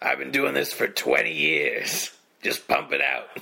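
In a put-on character voice, a man sounds gravelly and raspy, talking at a fairly slow pace. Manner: brusque.

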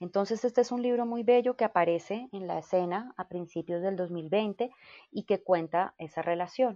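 Recorded dry and close with no echo over a quiet background, a woman speaks at a moderate pace and medium pitch in a dark, mellow tone with ordinary pitch variation. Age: 40s. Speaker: yoga teacher. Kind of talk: interview conversation.

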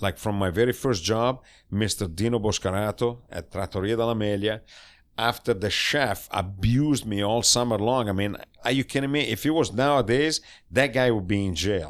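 In an Italian accent, a man with a fairly low pitch speaks at a moderate pace with ordinary pitch variation, in a very clean recording with a silent background. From northern Italy, Cremona/Mantova area. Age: 60s. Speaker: chef. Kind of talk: casual interview. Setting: home studio. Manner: animated.

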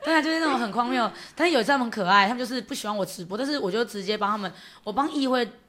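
Loud, very fast talk from a woman, fairly high-pitched, bright and sharp in tone, with lively intonation. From Taiwan, Yunlin County. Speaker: county councillor. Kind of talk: casual interview chat.

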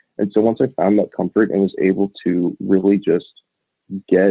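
A plain, everyday voice from a man with an American accent, fairly low in pitch, at a moderate pace. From US Northwest, Portland, Oregon. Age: 20s. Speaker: adoptee panelist. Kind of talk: panel interview.

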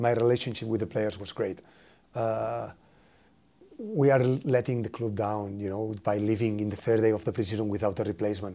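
With a Spanish accent, a man with a fairly low pitch and a dark, mellow tone speaks at a fairly quick pace with fairly even intonation against a quiet background. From Spain. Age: 30s. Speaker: football coach. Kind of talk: interview.

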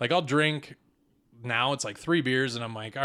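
On a very clean recording with a silent background, a man speaks at a medium pitch with a bright, sharp tone. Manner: sarcastic, deadpan.

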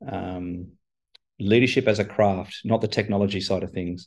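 Against a quiet background, a man with an Australian accent speaks at a moderate pace in a dark, mellow tone with monotone, flat intonation. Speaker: chief information officer. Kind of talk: interview conversation.

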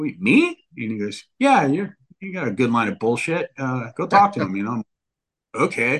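With a Californian accent, a man at a medium pitch talks at a moderate pace with very wide pitch swings. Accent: Californian American. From Northern California. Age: 40s. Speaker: motocross media editor. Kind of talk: casual chat.

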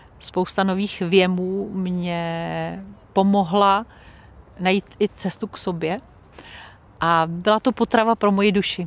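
Speaking at a very slow pace with long, frequent pauses, a woman of medium pitch keeps a monotone, flat intonation. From Czech Republic. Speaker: former radio presenter. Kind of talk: interview.

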